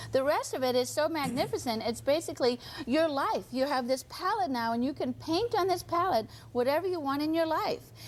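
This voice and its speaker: A woman speaks at a fairly quick pace in a high pitch. Her voice makes very wide pitch swings. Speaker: author and addiction recovery guest. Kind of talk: TV talk show interview. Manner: fast.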